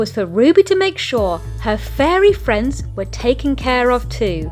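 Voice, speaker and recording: Music plays in the background. A woman with a British accent speaks at a fairly slow pace. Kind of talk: children's picture book read-aloud.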